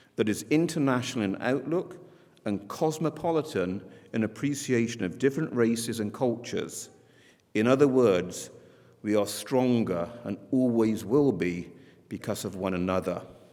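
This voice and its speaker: A man with an English accent speaks at a moderate pace in a medium pitch. His tone is dark and mellow, and his intonation is lively. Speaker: school head. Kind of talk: commencement speech. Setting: graduation ceremony with audience. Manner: formal.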